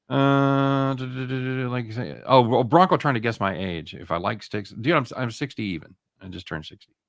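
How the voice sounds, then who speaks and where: A man with a plain, everyday voice talks at a fairly quick pace and medium pitch, with hardly any pauses. His intonation is lively, his loudness swings widely, and the recording is very clean with a silent background. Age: 60s. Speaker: sports betting show host. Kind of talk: casual chat.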